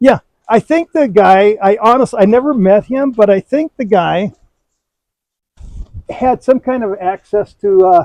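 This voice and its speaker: A man's high-pitched voice with an Upper Peninsula Michigan accent, fairly slow and broken by long, frequent pauses, in a dry, close sound with no echo. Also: ordinary pitch variation. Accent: Upper Midwest (Yooper). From Michigan's Upper Peninsula. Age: 60s. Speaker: cabin owner, YouTuber. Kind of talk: casual chat, property tour. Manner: halting, repeats words.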